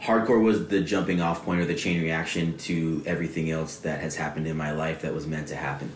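Against noticeable background noise and audible room echo, a man with a very deep, low pitch talks fairly quickly with hardly any pauses and ordinary pitch variation. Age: 30s. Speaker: hardcore scene show promoter. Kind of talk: casual chat.

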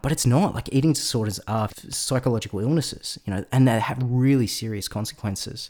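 With an Australian accent, a man speaks at a fairly quick pace and a medium pitch, showing a dark, mellow tone, ordinary pitch variation and hardly any pauses. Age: 30s. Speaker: podcast host. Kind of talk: interview podcast; scripted narration.

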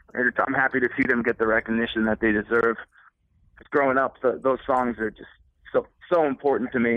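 In an American accent, a man delivers his words with a monotone, flat intonation. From Connecticut shoreline. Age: 30s. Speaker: musician. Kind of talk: casual chat. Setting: phone call.

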